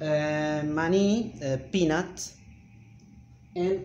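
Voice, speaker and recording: The voice carries a Spanish accent. Room echo is audible. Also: man. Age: 40s. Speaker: Spanish teacher. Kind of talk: language lesson. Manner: halting, with many fillers.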